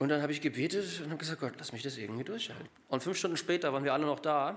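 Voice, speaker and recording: The man's voice is fairly high in pitch, rising and falling an ordinary amount. He rattles off his words very quickly. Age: 30s. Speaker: lay preacher. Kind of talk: sermon. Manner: halting.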